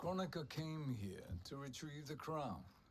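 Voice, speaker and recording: Putting on a character voice at a fairly high pitch, a man talks at a moderate pace over clear background noise. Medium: video game. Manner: calm, sinister.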